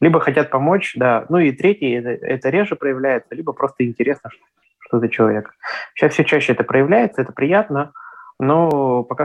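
A man talks at a medium pitch and moderate pace with ordinary pitch variation. It is an ordinary speaking voice. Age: 20s. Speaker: blind traveller and travel blogger. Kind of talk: interview.

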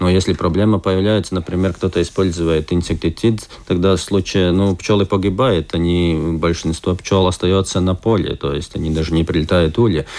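This man's voice is very deep and low, with fairly even intonation. He keeps a moderate pace with hardly any pauses. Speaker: beekeepers' association head. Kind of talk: radio interview. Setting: studio. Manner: hesitant.

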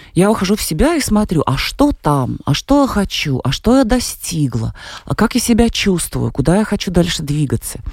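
A woman speaks at a moderate pace with vocal fry, very even loudness, medium pitch and very wide pitch swings. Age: 40s. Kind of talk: radio interview.

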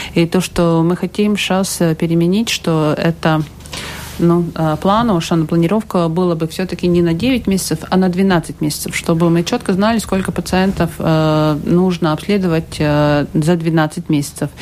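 In a Latvian accent, a woman speaks at a moderate pace and a fairly low pitch, with fairly even intonation. Her loudness stays very even over noticeable background noise. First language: Latvian (speaking Russian). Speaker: health minister. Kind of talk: radio interview. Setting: radio studio. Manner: halting.

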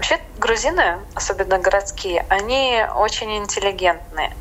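Moderate pace against noticeable background noise. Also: woman. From Latvia, Riga. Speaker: expat in tourism. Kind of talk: interview.

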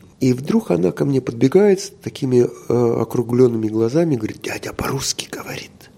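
A medium-pitched man at a moderate pace, lively intonation, and noticeable background noise behind him. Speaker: former film crew director, hotel business owner. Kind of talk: interview.

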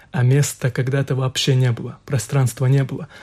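In a very clean recording with a silent background, a man speaks at a medium pitch in a dark, mellow, somewhat breathy tone with monotone, flat intonation. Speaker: imam. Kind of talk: radio panel discussion.

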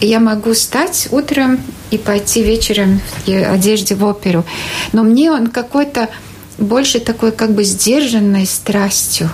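A woman with a fairly high pitch talks at a fairly slow pace, her loudness very even and her pitch variation ordinary, over noticeable background noise. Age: 50s. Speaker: journalist and TV presenter. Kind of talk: casual interview. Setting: studio. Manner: halting.

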